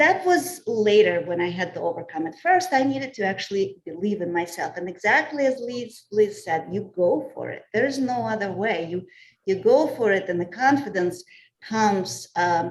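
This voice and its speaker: A woman in a Russian accent speaks at a moderate pace, her medium pitch making very wide swings. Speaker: communications professional. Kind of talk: panel discussion.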